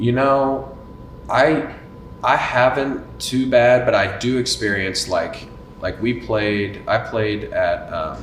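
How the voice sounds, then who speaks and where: A man speaks in a Texan accent at a very slow pace. Noticeable background noise is present. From Denton, Texas. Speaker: country singer-songwriter. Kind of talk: casual podcast interview answer.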